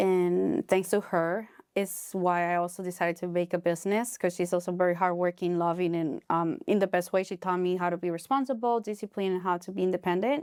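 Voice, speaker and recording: Fairly quick, with hardly any pauses, the speech carries a Spanish accent and fairly even intonation, dry and close with no echo on a very clean recording with a silent background. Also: woman, medium pitch for a woman. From Honduras. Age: 20s. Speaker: pilates studio and cafe owner. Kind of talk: podcast interview. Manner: halting.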